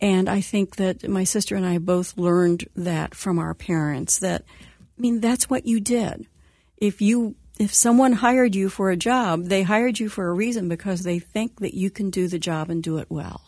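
Over a very clean recording with a silent background, a woman with a US Midwestern accent speaks at a medium pitch and moderate pace, with ordinary pitch variation. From Indiana, US Midwest. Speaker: former news and sports anchor, communications company head. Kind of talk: radio interview.

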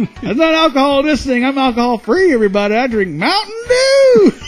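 A man talks at a fairly quick pace in a put-on character voice, extremely high in pitch. Faint music plays in the background. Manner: jokey, boasting.

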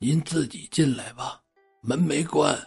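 A put-on character voice at a low-to-middle pitch and fairly slow pace, with faint music in the background. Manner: feeble, listless.

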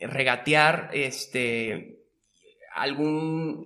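A man's fairly high-pitched voice with fairly even intonation, an ordinary speaking voice. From Monterrey, northern Mexico. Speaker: magician and entrepreneur. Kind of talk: casual interview.

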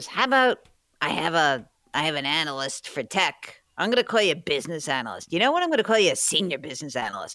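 A man's raspy, put-on character voice, high-pitched and very fast, with very wide pitch swings on a very clean recording with a silent background

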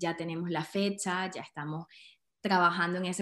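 Against a quiet background, a woman talks at a moderate pace and a medium pitch. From Venezuela, Andes (Trujillo). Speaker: entrepreneur, women's network founder. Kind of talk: casual interview chat. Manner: animated.

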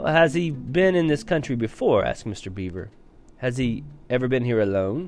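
Lively intonation in a natural reading voice.

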